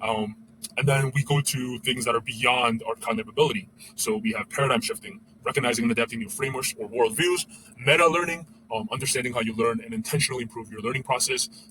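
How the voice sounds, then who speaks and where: A man with a non-native accent talks at a very fast pace. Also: medium pitch for a man, ordinary pitch variation. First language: not English. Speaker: former educator, vlogger. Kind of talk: casual monologue. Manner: halting, many fillers.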